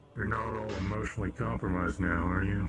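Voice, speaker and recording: A man uses a put-on character voice, very deep and low in pitch. He talks at a very fast pace over clear background noise. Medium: actual play. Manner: terse, commanding.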